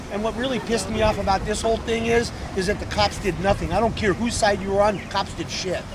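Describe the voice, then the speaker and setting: Over noticeable background noise and audible room echo, a man with a high pitch talks in an animated tone at a very fast pace with hardly any pauses. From US West Coast, San Francisco Bay Area. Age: 60s. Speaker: rally attendee interviewed on the street. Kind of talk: street interview, heated discussion. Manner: animated, emphatic.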